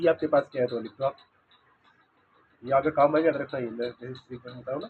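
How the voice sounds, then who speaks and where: A quiet man at a very fast pace. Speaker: physics teacher. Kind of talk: lecture.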